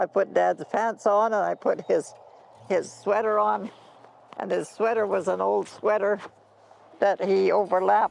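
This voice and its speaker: A woman with a Canadian Prairie accent at a moderate pace. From Canadian Prairies, Alberta. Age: 90s. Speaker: pioneer farm woman interviewee. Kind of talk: storytelling interview.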